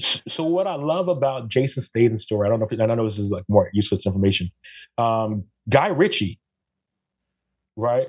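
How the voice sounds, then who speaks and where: An animated, somewhat breathy voice with lively intonation and long, frequent pauses, on a very clean recording with a silent background and a dry, close sound with no echo. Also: man, medium pitch for a man, fairly quick pace. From Brooklyn, New York, Jamaican family. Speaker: photographer, podcast guest. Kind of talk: casual chat.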